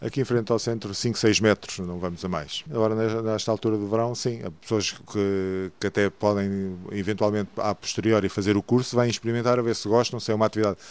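The speech moves at a fairly quick pace with hardly any pauses. Its intonation is fairly even. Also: man, fairly low pitch for a man. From Portugal, Santarém. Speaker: diving instructor. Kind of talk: radio interview. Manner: halting.

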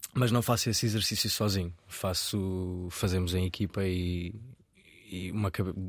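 A man talks in a monotone with flat intonation. The recording is very clean, with a silent background. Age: 20s. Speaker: chef. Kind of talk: interview. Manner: halting.

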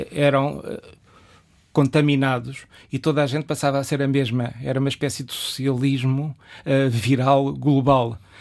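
A very clean recording of a man at a moderate pace, fairly high in pitch and flat in intonation, against a silent background. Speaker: philosophy teacher and writer. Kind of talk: interview.

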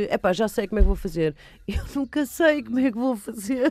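A woman's dark, mellow voice, dry and close with no echo, on a very clean recording with a silent background. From Lisbon and Almada, Portugal. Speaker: actress and film director. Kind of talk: radio interview. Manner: halting, many fillers.

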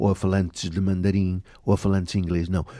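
A man speaks at a moderate pace with a dark, mellow tone. The sound is dry and close, with no echo. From Portugal, Aveiro region. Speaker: language education coordinator. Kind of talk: interview.

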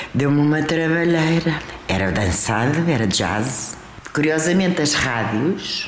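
A woman's very deep, low voice with lively intonation and very even loudness at a fairly slow pace, plus audible room echo and noticeable background noise. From Portugal, teen years in Paris. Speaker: singer. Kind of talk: biographical interview. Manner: animated.

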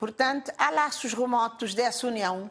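Over a quiet background, a woman with a normal speaking voice talks at a fairly slow pace and a fairly high pitch. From Cape Verde. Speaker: former independence fighter. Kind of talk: televised panel debate. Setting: TV studio.

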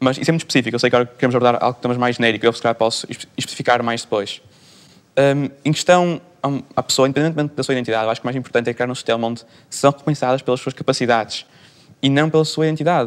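A man talks very fast with fairly even intonation. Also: medium pitch for a man. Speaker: student. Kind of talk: panel debate.

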